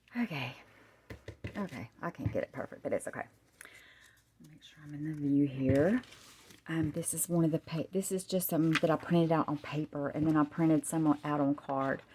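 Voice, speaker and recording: At a moderate pace, a woman with a very deep, low pitch speaks with ordinary pitch variation, big swings in loudness and long, frequent pauses. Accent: Southern US. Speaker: crafter. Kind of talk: product showcase. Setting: at home on camera. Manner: animated.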